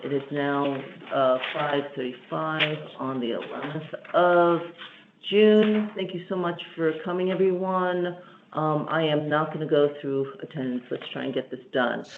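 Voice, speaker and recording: Speech comes fairly slowly. The speaker is soft-spoken. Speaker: committee chair. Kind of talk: public meeting.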